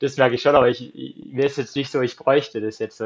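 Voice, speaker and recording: In a normal speaking voice, a man talks at a fairly quick pace with fairly even intonation. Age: 30s. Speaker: marathon runner. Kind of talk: casual interview.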